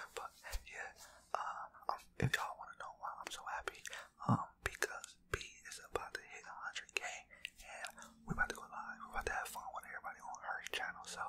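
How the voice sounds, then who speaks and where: Whispering at a fairly quick pace, a man's voice shows big swings in loudness. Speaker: ASMR creator. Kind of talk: casual vlog chat. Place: home room. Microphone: studio mic.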